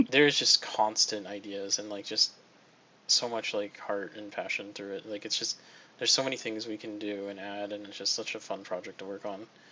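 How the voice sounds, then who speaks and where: With noticeable background noise behind him, a man talks at a fairly quick pace in a fairly low pitch, his intonation monotone and flat while his loudness swings widely. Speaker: game developer. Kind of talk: casual chat. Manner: sleepy, low-energy; halting.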